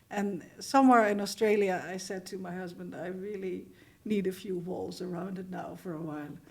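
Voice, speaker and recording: A woman speaks at a medium pitch and a moderate pace, with vocal fry and fairly even intonation. Her loudness swings widely, and the room echo is audible. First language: not English. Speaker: composer, author and filmmaker. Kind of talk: interview. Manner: halting.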